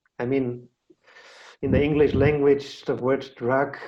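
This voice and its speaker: With a German accent, a man speaks very slowly in a fairly high pitch, his dark, mellow tone held to a monotone, flat intonation. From Austria. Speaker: podcast host. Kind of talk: casual interview chat.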